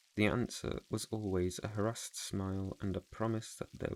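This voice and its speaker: A soft-spoken voice with a calm tone. The intonation stays flat and monotone throughout. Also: man. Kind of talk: audiobook reading for relaxation. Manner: soft-spoken, calm.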